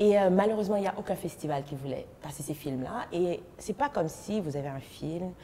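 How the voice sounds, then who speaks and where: A woman with a Haitian accent speaks in a fairly low voice with lively intonation and hardly any pauses. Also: moderate pace. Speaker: actress and festival founder. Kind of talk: interview.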